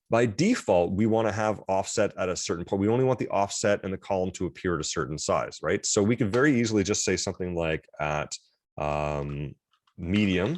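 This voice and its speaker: On a very clean recording with a silent background, a man speaks at a fairly low pitch. His intonation is lively and his pace fairly quick. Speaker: college instructor. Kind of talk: lecture. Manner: fast; animated.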